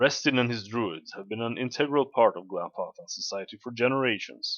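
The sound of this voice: An unforced reading voice is heard. Nothing about it changes from start to finish.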